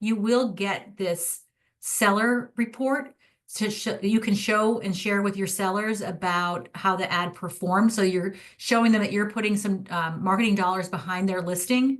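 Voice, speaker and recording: Against a quiet background, a woman with an unremarkable speaking voice talks with fairly even intonation. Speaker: social media marketing rep. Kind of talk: product demo presentation to realtors.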